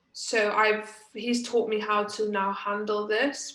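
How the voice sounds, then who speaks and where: A woman with a Welsh accent at a fairly slow pace, in audible room echo. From Wales. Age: 20s. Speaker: badminton player. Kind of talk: interview. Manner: hesitant, many fillers.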